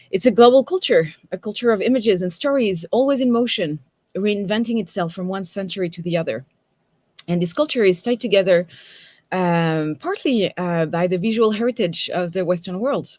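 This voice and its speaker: Lively intonation at a fairly quick pace, in a strong French accent, on a very clean recording with a silent background. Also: woman, medium pitch for a woman. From France. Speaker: tarot reader and teacher. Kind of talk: lecture. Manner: many fillers and hesitations.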